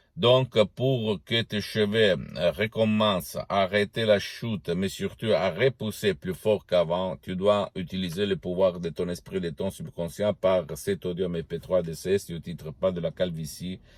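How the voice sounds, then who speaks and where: A man's very deep, low voice with a non-native accent, fairly slow yet with hardly any pauses, ordinary pitch variation, and a dry, close sound with no echo. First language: Italian (speaking French). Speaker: hypnotherapist. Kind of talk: promotional video talk. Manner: halting.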